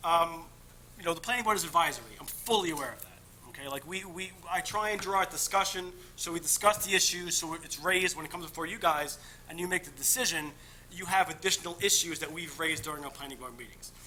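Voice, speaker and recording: Against noticeable background noise, a high-pitched man speaks at a very fast pace with ordinary pitch variation. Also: big swings in loudness. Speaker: candidate for town board seat. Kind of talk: interview opening statement. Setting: public meeting. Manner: halting.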